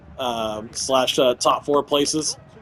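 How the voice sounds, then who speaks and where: A man with a fairly high pitch speaks in a fairly even intonation over noticeable background noise. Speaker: gaming YouTuber. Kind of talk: gameplay commentary. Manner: hesitant, many fillers.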